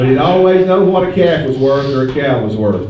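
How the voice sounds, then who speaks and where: Over noticeable background noise, a man speaks at a moderate pace with a fairly high pitch and lively intonation. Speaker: stockyard auction host. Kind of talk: public address announcement. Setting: PA system at a livestock sale. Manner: folksy, joking.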